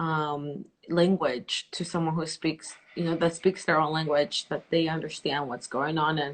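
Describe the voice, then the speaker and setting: At a fairly slow pace with hardly any pauses, a woman speaks in a very deep, low pitch with monotone, flat intonation. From El Salvador. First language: Spanish. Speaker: interview host. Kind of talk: live interview.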